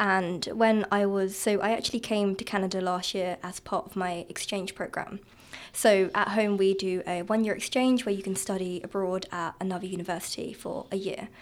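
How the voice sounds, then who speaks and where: With a slight southern English accent, a woman speaks in fairly even intonation. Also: medium pitch for a woman, moderate pace. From southeast England, Kent. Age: 20s. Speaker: guest, recent graduate. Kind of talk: casual interview chat.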